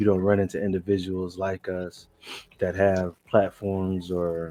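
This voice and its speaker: A man with an American accent speaks at a fairly slow pace in a very deep, low voice with a dark, mellow tone. His intonation is flat and monotone, and the background is quiet. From Alabama, US South. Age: 40s. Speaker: truck driver and Navy veteran. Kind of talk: casual podcast conversation. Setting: podcast recording.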